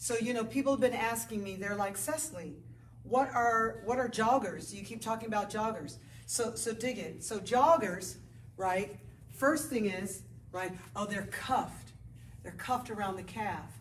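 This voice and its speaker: The speaker sounds animated, with ordinary pitch variation at a moderate pace. Audible room echo and noticeable background noise fill the recording. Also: woman, fairly high pitch for a woman. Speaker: yoga teacher. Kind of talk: casual chat to camera before a yoga class. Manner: loud. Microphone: no microphone, camera mic.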